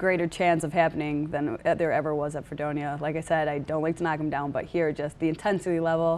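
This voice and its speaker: A woman's very deep, low voice, very fast and with hardly any pauses, monotone and flat, on a very clean recording with a silent background. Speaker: college softball player. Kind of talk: interview. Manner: loud.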